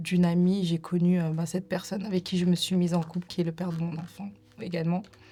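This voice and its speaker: Somewhat breathy woman's voice with monotone, flat intonation. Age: 30s. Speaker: domestic violence survivor. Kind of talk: testimony. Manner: hesitant, many fillers.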